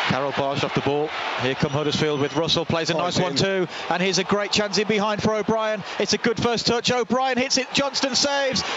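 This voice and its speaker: Over noticeable background noise, a man talks at a very fast pace in an animated tone with very wide pitch swings, the sound dry with no echo. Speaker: match commentator. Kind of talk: live football commentary, brisk play-by-play that swells into excitement at goals. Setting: stadium commentary. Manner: fast, fluent, animated. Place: stadium.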